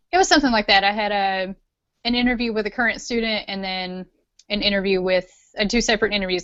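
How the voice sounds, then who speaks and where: A woman speaks in a Tennessee accent at medium pitch. Her intonation stays fairly even. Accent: Southern US (Tennessee). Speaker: pharmacy student. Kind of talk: casual interview.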